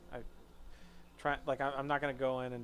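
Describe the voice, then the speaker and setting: A soft-spoken man. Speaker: streamer. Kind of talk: casual chat. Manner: halting.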